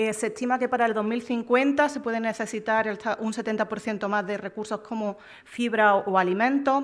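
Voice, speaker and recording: Her fairly high pitch and fairly even intonation carry along at a fairly quick pace as the woman speaks. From Córdoba, Andalusia, Spain. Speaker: EU official, panel speaker. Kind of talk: conference talk. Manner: halting, frequent fillers.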